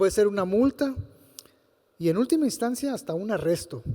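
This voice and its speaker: In a very clean recording with a silent background, a man with a high pitch and a dark, mellow tone speaks at a moderate pace with lively intonation. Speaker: health regulatory official. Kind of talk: panel talk. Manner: halting.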